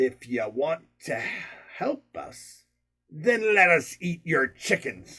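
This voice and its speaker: A man puts on a gruff, raspy character voice, pitched high. He talks at a very slow pace. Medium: read story. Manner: gruff, cross.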